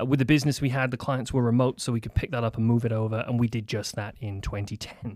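A man with a Welsh accent at medium pitch, talking at a very fast pace with fairly even intonation and hardly any pauses, in a very clean recording with a silent background. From Wales. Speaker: commercial real estate broker. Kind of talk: casual chat. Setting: studio.

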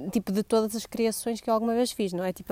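A woman's fairly high, dark and mellow voice, monotone and flat, at a very fast pace, in a dry, close sound with no echo on a very clean recording with a silent background. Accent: northern Portuguese. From northern Portugal, Gaia. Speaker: podcast host. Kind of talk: casual solo monologue. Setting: outdoors in building garden. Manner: scattered, hesitant.

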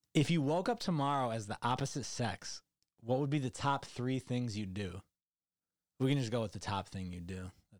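On a very clean recording with a silent background, a man with an American accent speaks in a plain, everyday voice at medium pitch, with lively intonation and a moderate pace. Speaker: podcast host. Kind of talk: casual chat.

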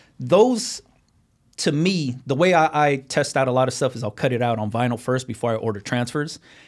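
Heard on a very clean recording with a silent background, a man talks fairly quickly in a plain, everyday voice with ordinary pitch variation. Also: medium pitch for a man. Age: 30s. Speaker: YouTuber teaching home apparel business. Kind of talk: casual interview chat.

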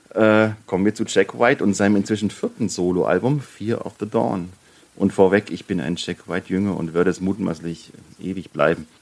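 An ordinary speaking voice from a man, fairly low in pitch, with ordinary pitch variation and a moderate pace. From Bavaria. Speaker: indie rock podcast co-host. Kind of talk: casual chat.

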